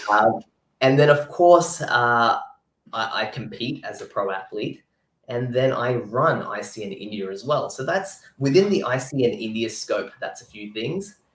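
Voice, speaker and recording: Fairly slow and somewhat breathy, a man at a medium pitch speaks with lively intonation and big swings in loudness. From New Zealand. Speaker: pro physique athlete and sports nutritionist. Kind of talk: interview. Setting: live video chat.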